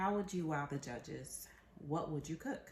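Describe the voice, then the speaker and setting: With an American accent, a woman speaks in a somewhat breathy voice at a very deep, low pitch, using lively intonation. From Tampa, Florida. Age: 30s. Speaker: cooking show applicant. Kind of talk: audition video, casual talk to camera.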